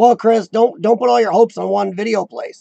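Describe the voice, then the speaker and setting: A squeaky, high-pitched man's voice with a dark, mellow tone and a dry, close sound without echo. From rural farm country. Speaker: live-stream chat host. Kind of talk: casual live chat reading viewer comments.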